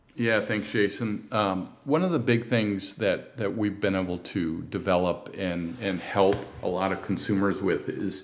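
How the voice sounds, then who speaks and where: Speech in an American accent comes at a fairly slow pace. Audible room echo surrounds it. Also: man. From California. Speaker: cycling event founder and ad agency owner. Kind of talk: interview.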